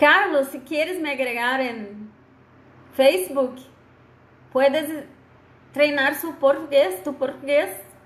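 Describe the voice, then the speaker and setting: Very slow speech with long, frequent pauses, ordinary pitch variation and audible room echo. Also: woman, high pitch for a woman. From Brazil. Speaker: law lecturer. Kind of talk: online lecture.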